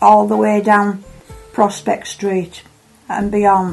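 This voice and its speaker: A woman speaks with an East Yorkshire accent at a fairly slow pace, her pitch fairly high. Her intonation is flat and monotone, with music playing behind her. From Hull, East Yorkshire. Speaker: wartime childhood witness. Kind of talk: personal memoir.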